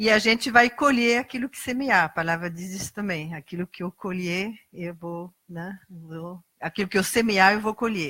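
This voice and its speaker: With hardly any pauses, a woman talks in a bright, sharp tone at a medium pitch, her loudness swinging widely. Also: ordinary pitch variation, moderate pace, dry, close sound with no echo. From Brazil. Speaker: lay preacher. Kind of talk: sermon.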